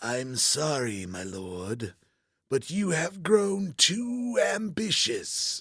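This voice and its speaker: Using a put-on character voice, a man speaks at a very slow pace with fairly high pitch, very wide pitch swings and big jumps in loudness. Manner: wise, remorseful.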